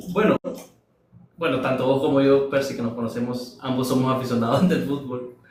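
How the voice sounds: Strong room echo surrounds a soft-spoken man who talks at a moderate pace and a medium pitch. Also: fairly even intonation, slightly mellow tone.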